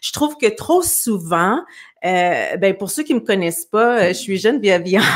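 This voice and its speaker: A woman talks at a fairly slow pace with lively intonation. The background is quiet. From Quebec. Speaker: talk show host. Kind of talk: casual interview. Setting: video call livestream. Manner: hesitant, many fillers. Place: home room. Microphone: studio mic.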